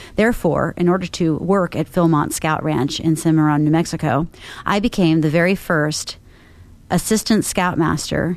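A woman with a normal speaking voice, fairly low in pitch, very even loudness, ordinary pitch variation and a moderate pace, on a very clean recording with a silent background. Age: 40s. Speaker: marketing agency owner. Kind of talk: rant. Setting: industry conference.

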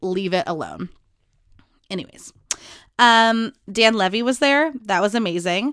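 A woman with a fairly high pitch speaks in an animated tone with lively intonation, in a very clean recording with a silent background. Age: 20s. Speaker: podcast host. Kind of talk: casual solo chat. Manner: fast.

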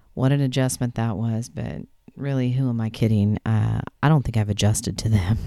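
Her voice very deep and low with a dark, mellow tone, a woman speaks at a moderate pace with ordinary pitch variation. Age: 50s. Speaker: podcast host on aging and elder care. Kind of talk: solo podcast monologue.

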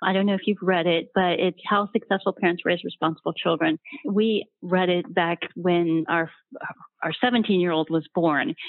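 In an American accent, a woman with an unremarkable speaking voice talks at a moderate pace, her fairly low pitch showing ordinary variation. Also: very even loudness. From Ohio. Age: 40s. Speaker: estate planning attorney. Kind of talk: casual panel discussion.

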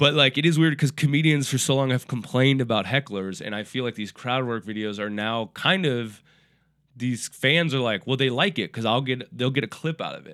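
An unremarkable speaking voice from a man with an American accent, medium pitch, ordinary pitch variation, a fairly quick pace and big swings in loudness. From Minneapolis, Minnesota. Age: 30s. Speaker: stand-up comedian. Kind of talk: casual chat.

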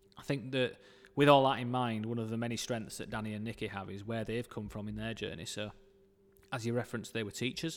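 Speaking very fast in a Yorkshire accent, a man with a medium-pitched voice keeps his intonation fairly even on a very clean recording with a silent background. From northern England, Dewsbury, West Yorkshire. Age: 30s. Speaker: football club marketing director. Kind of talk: casual interview.

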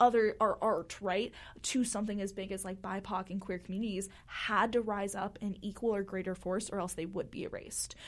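A woman talks at a fairly quick pace with hardly any pauses. Her pitch is medium and her intonation monotone and flat. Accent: American. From Florida. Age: 20s. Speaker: university student and poet. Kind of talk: casual interview. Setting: studio.

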